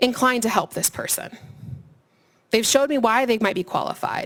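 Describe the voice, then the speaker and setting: A high-pitched woman at a fairly quick pace in a very clean recording with a silent background. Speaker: career services staff presenter. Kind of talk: seminar presentation. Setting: room with student audience. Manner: fast.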